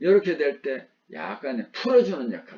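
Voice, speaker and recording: A man speaks very slowly with a Gyeongsang accent. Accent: Gyeongsang dialect, noticeable. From Gyeongsang region, South Korea. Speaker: vocational instructor. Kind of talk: lecture.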